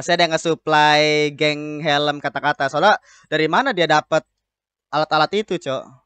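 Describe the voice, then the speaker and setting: A man with a bright, sharp tone talks at a fairly quick pace with ordinary pitch variation, the sound dry with no echo over a quiet background. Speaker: anime reaction host. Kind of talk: casual reaction commentary. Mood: cheerful, amused. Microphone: studio mic.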